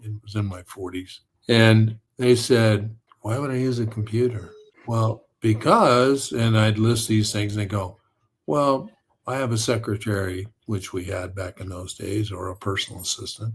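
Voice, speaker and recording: Somewhat breathy, this man has a fairly low pitch. He keeps a moderate pace. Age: 70s. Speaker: author and storyteller. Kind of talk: casual chat. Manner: animated.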